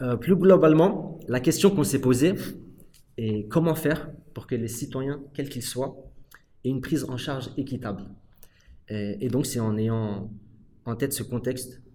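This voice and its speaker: A man at medium pitch speaks at a fairly slow pace with lively intonation. His tone is dark, mellow and somewhat breathy. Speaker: podcast moderator, prison workshop participant. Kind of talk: moderated discussion.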